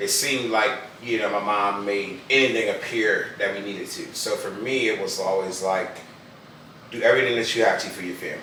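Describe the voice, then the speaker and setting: With audible room echo and noticeable background noise, the talking goes along fairly quickly. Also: man. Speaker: husband playing a couples card game. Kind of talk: casual chat. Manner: loud.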